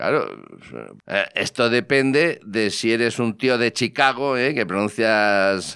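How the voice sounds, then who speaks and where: The tone is bright and sharp, the pace very slow and the loudness very even, with ordinary pitch variation over a quiet background. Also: man, medium pitch for a man. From Spain. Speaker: technology podcast host. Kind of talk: casual chat. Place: studio. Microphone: studio mic.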